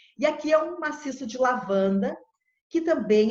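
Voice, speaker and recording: A normal speaking voice, moderate in tempo, with lively intonation. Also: woman. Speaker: agronomist. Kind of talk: presentation.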